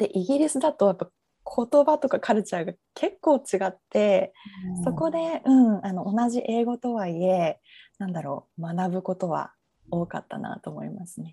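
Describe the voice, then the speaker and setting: A woman's somewhat breathy, medium-pitched voice with a dark, mellow tone, very wide pitch swings and big jumps in loudness, at a moderate pace, with a dry, close sound and no echo. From Japan, Fukuoka. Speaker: natural therapy practitioner. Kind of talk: interview. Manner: hesitant, many fillers.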